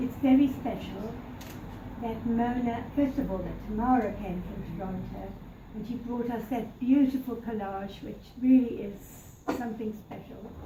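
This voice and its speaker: With noticeable background noise and audible room echo, a woman speaks at a moderate pace and a fairly high pitch, her intonation fairly even. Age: 80s+. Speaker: birthday celebrant. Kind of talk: party speech. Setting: birthday party. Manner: formal.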